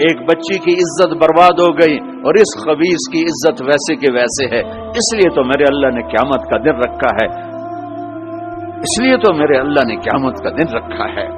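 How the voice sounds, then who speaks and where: Music plays behind a man whose fairly high voice has lively intonation. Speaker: Islamic scholar. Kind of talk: religious sermon. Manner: emotive, impassioned.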